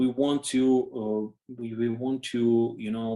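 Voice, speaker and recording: A man speaks with a Russian accent and a dark, mellow tone. His pace is fairly slow. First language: not English. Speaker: orchestra conductor. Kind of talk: interview. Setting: video call. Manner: halting, many fillers and repeats.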